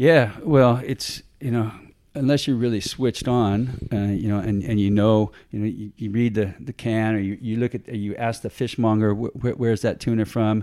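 A man's dark, mellow voice at medium pitch with an American accent, moderate in pace with hardly any pauses, on a very clean recording with a silent background. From US West Coast, San Diego, California. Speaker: fisheries outreach officer, ex tuna fisherman. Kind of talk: interview. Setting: office. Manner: halting, many repetitions and fillers.

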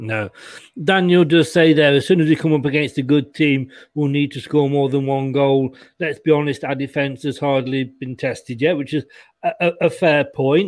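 Speaking at a moderate pace, a man with an English accent uses a fairly high pitch and fairly even intonation. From England. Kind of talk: casual chat.

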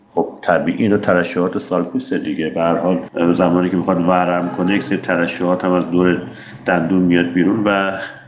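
Over noticeable background noise and audible room echo, a man with a very deep, low pitch speaks at a fairly quick pace, his intonation fairly even and his loudness very even. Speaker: dentist. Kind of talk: personal story. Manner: talkative.

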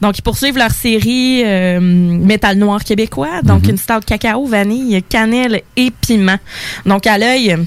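A woman with a Quebec accent speaks at a fairly slow pace, her loudness very even. Her pitch is medium with ordinary variation. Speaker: radio co-host and beer columnist. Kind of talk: casual chat.

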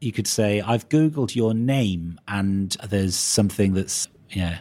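Speaking at a fairly slow pace, a man with a Welsh accent has a dark, mellow tone. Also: fairly low pitch for a man, ordinary pitch variation. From Wales. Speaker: podcast host. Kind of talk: casual chat.

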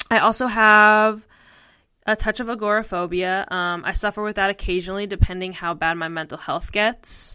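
With an American accent, a woman at medium pitch talks at a moderate pace in a bright, sharp tone with fairly even intonation, on a very clean recording with a silent background. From US Northeast, northeastern Pennsylvania. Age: 20s. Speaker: podcast co-host, mental health advocate. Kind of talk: personal storytelling monologue.

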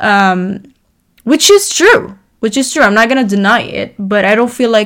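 A woman speaks in a normal speaking voice at medium pitch with ordinary pitch variation. Her pace is moderate. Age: 20s. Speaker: podcast host. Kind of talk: casual monologue.

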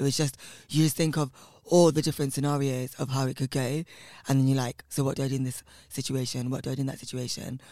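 In a London accent, a man with a dark, mellow tone talks at a very fast pace with monotone, flat intonation. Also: medium pitch for a man, very clean recording, silent background. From West London, England (Southall). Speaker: drag performance artist. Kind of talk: casual interview chat.

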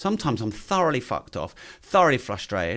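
A man speaks in an English accent with vocal fry and very wide pitch swings. The recording is very clean, with a silent background. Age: 40s. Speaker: entrepreneur and podcaster. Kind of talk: casual interview chat.

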